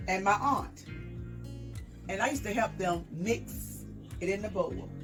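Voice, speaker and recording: A woman speaks with an American accent while music plays in the background. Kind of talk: interview answer.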